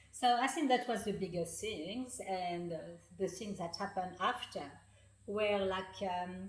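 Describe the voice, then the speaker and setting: A woman with a French accent speaks at a fairly slow pace, medium pitch and ordinary pitch variation. Audible room echo and noticeable background noise surround her. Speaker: author and healing practitioner. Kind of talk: interview. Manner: halting, many fillers.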